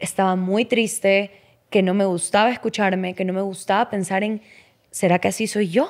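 In a quiet setting, a woman with a medium-pitched voice talks at a moderate pace. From Ecuador. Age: 20s. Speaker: model and former cooking show contestant; podcast guest. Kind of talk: casual interview chat. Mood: candid, reflective, animated. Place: studio. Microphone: studio mic.

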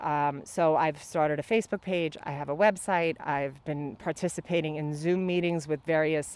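Speaking at a moderate pace, a woman has a very deep, low pitch and fairly even intonation, with a dry sound and no echo. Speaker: candidate. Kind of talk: interview answer. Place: garden. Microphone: handheld.

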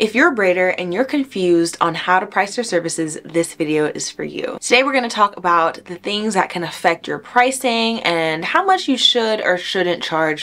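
At a moderate pace, a woman with an American accent speaks at a fairly low pitch with very wide pitch swings. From US South, Miami, Florida; Florida. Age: 20s. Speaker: hair braider; hair educator. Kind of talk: tutorial. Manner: conversational.

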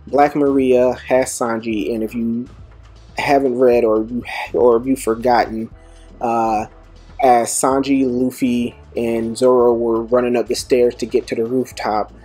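A man at a fairly slow pace, with faint music in the background. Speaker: manga commentator. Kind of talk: commentary.

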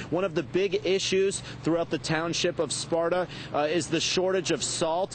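The man has a high pitch, fairly even intonation and very even loudness. The sound is dry with no echo, over light background noise. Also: moderate pace. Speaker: TV field reporter. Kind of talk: live news report. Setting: outdoors in snowstorm. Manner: formal. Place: street. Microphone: lapel.

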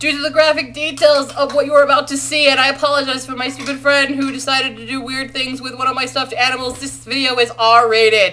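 Very fast and with hardly any pauses, the raised, projected voice keeps a monotone, flat intonation over light background noise. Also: woman, high pitch for a woman. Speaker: university student. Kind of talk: casual vlog talk to camera. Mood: playful, amused. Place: home room. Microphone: webcam.

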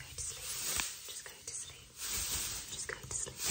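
A woman is whispering. She speaks at a moderate pace. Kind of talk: ASMR roleplay. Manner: soft hushed ASMR voice, lulling. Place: home room. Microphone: phone near.

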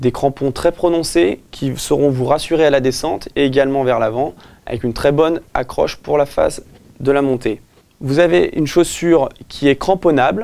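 A man with a dark, mellow tone talks at a moderate pace, his pitch varying in an ordinary way. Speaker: presenter. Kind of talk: product presentation. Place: shop.

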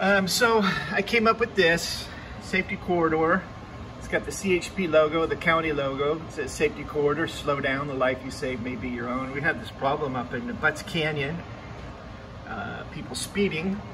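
A man keeps a moderate pace, with noticeable background noise behind him. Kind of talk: casual tutorial narration. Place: office. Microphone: phone near.

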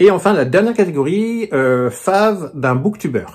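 A man's lively intonation over light background noise. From France. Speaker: book YouTuber. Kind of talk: casual vlog book presentation. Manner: hesitant, many fillers. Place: home room. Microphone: phone near.

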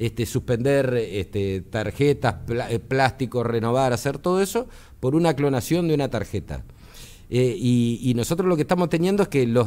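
Very wide pitch swings run through a man's dark, mellow voice. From Argentina. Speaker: electronics engineer, tech commentator; tech commentator. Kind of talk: explanatory interview on radio. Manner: hesitant, many filler words. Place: studio. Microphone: studio mic.

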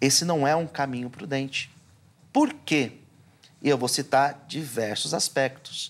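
With fairly even intonation, a man talks at a fairly slow pace in a fairly high voice, taking long, frequent pauses. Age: 40s. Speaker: pastor; pastor guest. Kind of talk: theological debate. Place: studio. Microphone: lapel.

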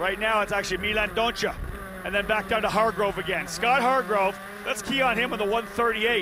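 A man with a high pitch uses a raised, projected voice. Noticeable background noise can be heard. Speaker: race commentator. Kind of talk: live race commentary. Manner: fast-paced, rattling off positions and names; excited, urgent call.

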